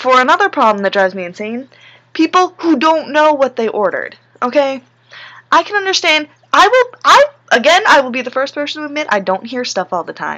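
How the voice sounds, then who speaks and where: Her voice raised and projected, a woman speaks at a fairly quick pace with a high pitch, a bright, sharp tone and very wide pitch swings. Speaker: vlogger and fast food worker. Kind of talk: casual vlog rant. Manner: fast.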